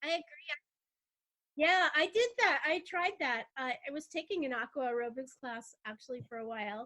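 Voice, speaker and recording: Using a raised, projected voice with an American accent, a woman speaks at a moderate pace with a high pitch, a bright, sharp tone, lively intonation and big swings in loudness. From Los Angeles, San Fernando Valley. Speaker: voice actor, travel and lifestyle blogger. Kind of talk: podcast interview answer.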